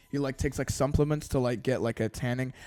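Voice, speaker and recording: This man has an American accent, and music plays behind his speech. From Britain. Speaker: YouTuber. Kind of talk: casual vlog monologue. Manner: halting, stammering.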